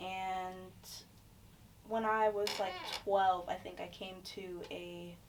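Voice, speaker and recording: Noticeable background noise and audible room echo accompany a woman with an American accent who speaks at medium pitch in a monotone, flat intonation. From Florida. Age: 20s. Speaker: social work graduate student. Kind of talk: casual chat.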